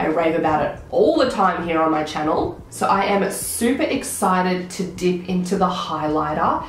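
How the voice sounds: A woman with a fairly low voice speaks with lively intonation, and the room echo is audible. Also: moderate pace.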